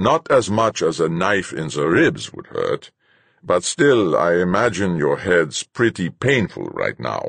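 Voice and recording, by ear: Using a put-on character voice, a man speaks low in pitch with vocal fry, a slightly husky edge, a fairly bright tone and very wide pitch swings. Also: fairly slow pace.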